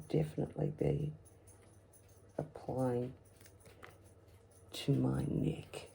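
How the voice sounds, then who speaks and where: A woman speaks with an Australian accent. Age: 60s. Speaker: customer giving product testimonial. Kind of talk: product demonstration. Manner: casual, hesitant.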